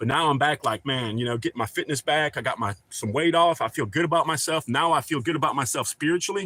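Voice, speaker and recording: Rattling along at a very fast pace with hardly any pauses, a man with a fairly high voice and ordinary pitch variation sounds dry and close, with no echo. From Ohio. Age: 40s. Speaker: YouTube survival channel host. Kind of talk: livestream chat. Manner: rambling.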